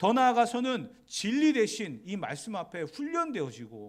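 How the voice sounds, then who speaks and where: A man's voice with very wide pitch swings. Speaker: pastor. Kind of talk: sermon. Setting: church.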